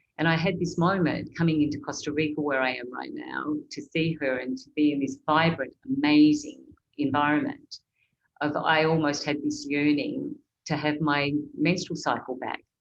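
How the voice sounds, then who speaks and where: Delivered at a moderate pace, the speech stays monotone and flat while its loudness swings a lot. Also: woman, very deep, low pitch for a woman. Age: 60s. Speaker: consultant and coach hosting a webinar. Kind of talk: online panel discussion.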